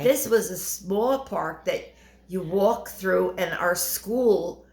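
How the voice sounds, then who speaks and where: Against noticeable background noise, a woman talks at a very slow pace, with medium pitch and ordinary pitch variation. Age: 80s+. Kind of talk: interview answer. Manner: hesitant, conversational.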